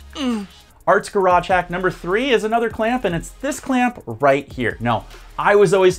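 Over faint music in the background, a man talks at a moderate pace. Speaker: painting instructor. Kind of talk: tutorial. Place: studio. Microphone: lapel.

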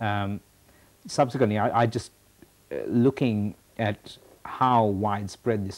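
A man speaks with a fairly low pitch and a slightly mellow tone. His intonation stays fairly even.

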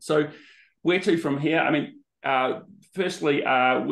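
A man with an Australian accent and ordinary pitch variation. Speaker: business consultant; presenter hosting an information session. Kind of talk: presentation on a video call. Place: home room. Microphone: webcam.

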